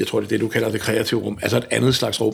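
A man is speaking. His voice carries vocal fry. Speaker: folk musician. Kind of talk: casual chat.

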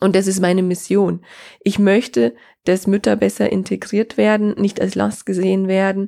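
A woman speaks at a moderate pace in a medium pitch with ordinary pitch variation and very even loudness. Her tone is dark and mellow, on a very clean recording with a silent background. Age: 30s. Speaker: podcast host and business consultant. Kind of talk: solo podcast monologue.

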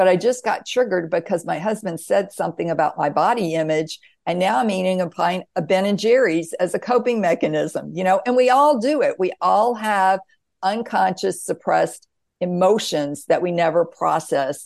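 A woman with an American accent uses an ordinary speaking voice at a medium pitch, talking at a moderate pace with lively intonation against a quiet background. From US South. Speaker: author and near-death experiencer. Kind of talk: interview.

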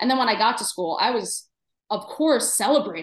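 A woman with a New York accent at a fairly quick pace, animated in tone and lively in intonation. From New York City, Queens. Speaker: dietitian. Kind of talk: casual chat.

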